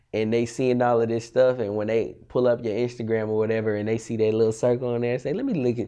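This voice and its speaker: A man with an American accent and a plain, everyday voice, medium in pitch, at a fairly quick pace against a quiet background. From Texas, Austin. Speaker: videographer. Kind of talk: casual interview.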